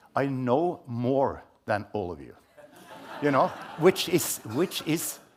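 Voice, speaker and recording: A man at a medium pitch and a very slow pace, with lively intonation, long, frequent pauses, big swings in loudness and noticeable background noise. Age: 70s. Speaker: scientist and report co-author. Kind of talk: panel talk.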